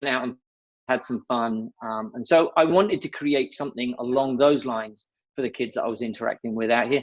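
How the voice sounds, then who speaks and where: With an English accent, a man talks at a fairly quick pace, his medium pitch showing ordinary variation. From England. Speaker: nonprofit founder. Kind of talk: interview. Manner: casual, with many fillers.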